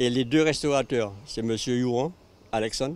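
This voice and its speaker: A man at medium pitch, talking at a moderate pace. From Martinique, Le Carbet. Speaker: local resident. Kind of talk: documentary interview.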